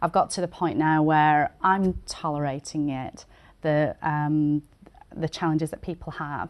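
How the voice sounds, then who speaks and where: Fairly slow speech with a British accent, monotone and flat in intonation, against a quiet background. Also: woman, very deep, low pitch for a woman. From England. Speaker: immigrant small business owner. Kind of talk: interview. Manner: halting, many fillers.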